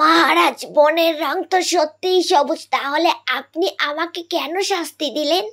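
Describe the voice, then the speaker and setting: A woman uses a cartoonish character voice pitched extremely high, speaking at a fairly slow pace. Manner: respectful.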